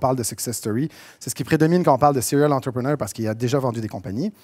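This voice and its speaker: Dry, close sound with no echo, lively intonation, and a very fast pace. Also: man. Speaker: entrepreneur, conference speaker. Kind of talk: conference talk. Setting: stage with audience. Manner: casual, with many fillers.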